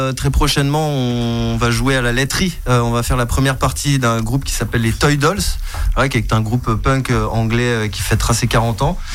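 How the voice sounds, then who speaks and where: Over noticeable background noise and audible room echo, a man speaks fairly slowly. His pitch is medium, with ordinary variation. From Botswana. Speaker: musician in a rock band. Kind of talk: radio interview.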